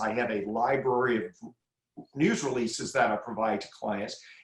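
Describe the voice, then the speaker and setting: A man talks in a normal speaking voice. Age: 60s. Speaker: crisis communications expert. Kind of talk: podcast interview.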